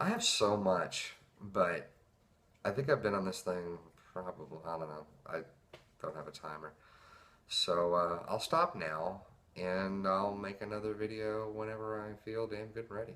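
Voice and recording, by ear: A man with a low pitch talks at a fairly slow pace, his tone fairly bright and nervous, his intonation fairly even.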